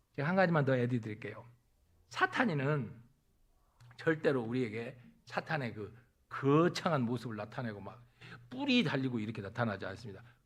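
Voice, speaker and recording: A man at a medium pitch talks fairly quickly with ordinary pitch variation, big swings in loudness, long and frequent pauses, and audible room echo. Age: 60s. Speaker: pastor. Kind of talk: sermon.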